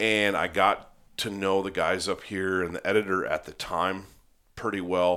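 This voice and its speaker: On a very clean recording with a silent background, a man speaks with an American accent at a moderate pace. His voice is very deep and low, with a bright, sharp tone. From Upper Peninsula of Michigan. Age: 40s. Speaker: podcast host, waterfowl hunting publication editor. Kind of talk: casual chat. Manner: animated.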